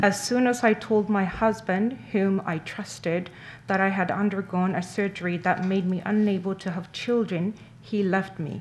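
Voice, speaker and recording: Very slowly and somewhat breathily, a woman speaks at a medium pitch with fairly even intonation. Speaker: interpreter. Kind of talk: consecutive interpretation of a statement.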